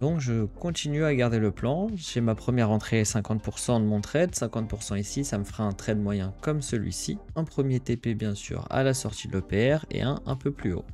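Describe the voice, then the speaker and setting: A man's voice with ordinary pitch variation and hardly any pauses. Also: medium pitch for a man, moderate pace. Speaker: crypto trader streamer. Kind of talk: live trading commentary. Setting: livestream. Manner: hesitant, repetitive fillers.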